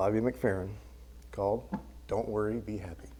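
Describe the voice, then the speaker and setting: Soft-spoken delivery in a dark, mellow tone, with audible room echo. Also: man. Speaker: church member giving a lesson. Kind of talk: sermon. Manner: halting.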